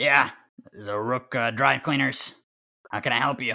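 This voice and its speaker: The voice is a raspy, put-on character voice. The recording is very clean, with a silent background. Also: man, medium pitch for a man, moderate pace, ordinary pitch variation, big swings in loudness. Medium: actual play.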